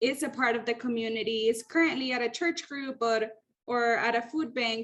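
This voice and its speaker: This woman has a Spanish accent and a high pitch. She keeps a moderate pace and fairly even intonation. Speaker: training program facilitator. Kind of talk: icebreaker session in an online meeting. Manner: friendly, informal.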